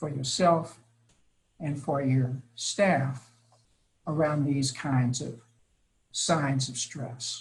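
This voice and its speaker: A man's somewhat breathy, fairly high-pitched voice with fairly even intonation. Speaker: early childhood education expert presenter. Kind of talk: webinar presentation. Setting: webinar.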